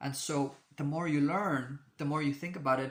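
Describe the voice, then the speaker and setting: On a very clean recording with a silent background, a man speaks at a fairly high pitch in a monotone, flat way. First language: not English. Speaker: astrology video creator. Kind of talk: casual monologue to camera. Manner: halting, many fillers and restarts.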